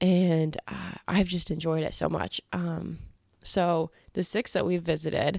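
A woman with an American accent speaks at a very slow pace in a fairly low pitch with ordinary pitch variation. The sound is dry and close with no echo, in a very clean recording over a silent background. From Kansas, US Midwest. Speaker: podcast host. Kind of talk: casual monologue.

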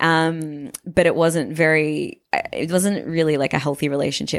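The speaker talks at a moderate pace in a monotone with flat intonation, recorded very cleanly against a silent background. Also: woman. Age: 30s. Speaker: comedian. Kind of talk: casual chat.

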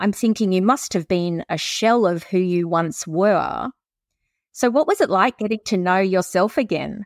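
A woman speaks at a medium pitch with an Australian accent, her loudness very even. The recording is very clean with a silent background, and the sound is dry and close with no echo. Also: ordinary pitch variation, moderate pace. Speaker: podcast host. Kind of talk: interview, warm conversational. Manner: warm, welcoming.

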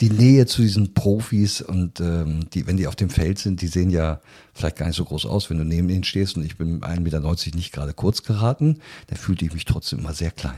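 In a very clean recording with a silent background, a man with a very deep, low pitch and a dark, mellow tone talks fairly quickly with ordinary pitch variation. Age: 60s. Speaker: biologist and business executive. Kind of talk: interview.

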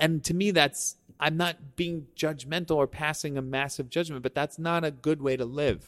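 A man's ordinary speaking voice with an American accent, fairly high in pitch, at a moderate pace with fairly even intonation, hardly any pauses, and a dry, close sound with no echo. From Staten Island, New York. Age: 40s. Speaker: videographer. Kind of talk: casual chat. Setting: studio.

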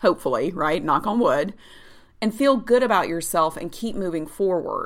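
A woman's unremarkable speaking voice, medium in pitch, with lively intonation and a moderate pace. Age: 40s. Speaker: health coach and podcast host. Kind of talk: solo podcast monologue. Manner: casual, upbeat.

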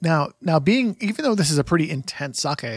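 This man talks at a very fast pace with lively intonation and vocal fry. The sound is dry and close, with no echo. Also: very clean recording, silent background. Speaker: podcast host. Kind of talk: casual chat. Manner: casual, hesitant with fillers.

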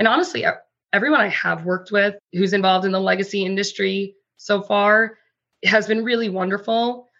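Bright and sharp in tone, a woman's medium-pitched voice moves at a moderate pace with fairly even intonation. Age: 30s. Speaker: corporate lawyer. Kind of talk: interview.

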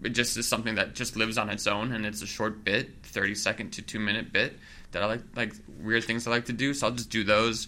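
With music in the background, a man with an American accent talks at a very fast pace. His medium-pitched delivery is monotone, with flat intonation. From Milwaukee, US Midwest. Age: 30s. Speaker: comedian and juggler. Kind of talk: casual interview chat.

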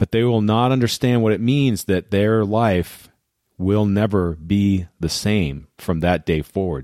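A man's warm, dark, mellow tone at a fairly slow pace, dry and close with no echo. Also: very clean recording, silent background. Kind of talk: guided visualisation pep talk. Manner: earnest, warm, direct address to listeners.

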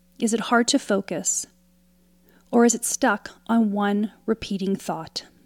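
A woman talks in a plain, everyday voice at a fairly high pitch, slowly and with fairly even intonation. The sound is dry and close, with no echo. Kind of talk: guided meditation. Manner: calm, slow, soothing, with pauses between prompts; gently instructive, inviting.

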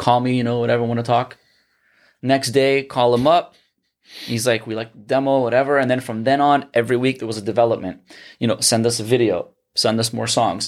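On a very clean recording with a silent background, a man talks in a monotone, flat way. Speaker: musician. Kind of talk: casual chat.

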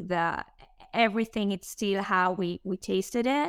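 A woman with an Israeli accent speaks at a medium pitch. Her intonation is fairly even, and the sound is dry and close with no echo. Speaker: startup co-founder and marketing chief. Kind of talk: casual interview.

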